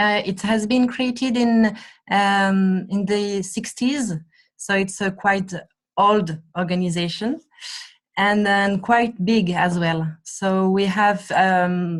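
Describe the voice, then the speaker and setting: The voice is somewhat breathy, moving at a very slow pace with fairly even intonation. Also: woman, medium pitch for a woman. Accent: French. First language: French. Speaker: NGO staff member. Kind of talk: presentation. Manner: halting.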